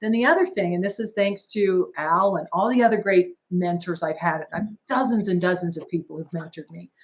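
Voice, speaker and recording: At a moderate pace, a woman speaks with a medium pitch. Her voice is somewhat breathy, with ordinary pitch variation. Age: 60s. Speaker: business owner and franchise founder. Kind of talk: podcast interview.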